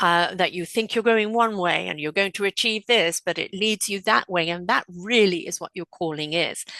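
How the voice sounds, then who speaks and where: A woman talks at a moderate pace with hardly any pauses, at medium pitch with ordinary pitch variation. Her tone is bright and sharp, and the sound is dry and close with no echo. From England. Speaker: spiritual counselor and podcaster. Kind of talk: podcast interview.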